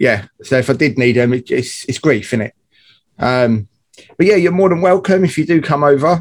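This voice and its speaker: A man's fairly high-pitched, a normal speaking voice, with lively intonation at a moderate pace. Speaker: podcast co-host. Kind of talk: casual chat.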